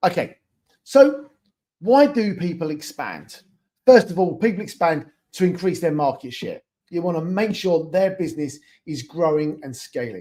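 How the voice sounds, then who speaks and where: With a British accent, a man speaks at a high pitch and a moderate pace in a dark, mellow tone. His intonation is lively, and his volume swings widely. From England. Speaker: e-commerce expansion consultant. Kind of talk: webinar presentation. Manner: casual, with filler words.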